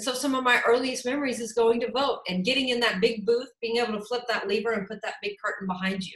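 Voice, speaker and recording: A passionate, very fast delivery with a Texan accent and fairly even intonation. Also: woman. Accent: Texan American English. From Houston, Texas. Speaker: political candidate, lawyer. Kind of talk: campaign talk, interview answer.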